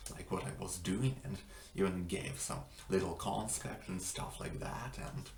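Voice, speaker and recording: A man with a non-native accent, a very deep, low pitch and lively intonation at a moderate pace, amid noticeable background noise and audible room echo. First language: not English. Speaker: language-learning vlogger. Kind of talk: casual vlog monologue. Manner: halting, many fillers.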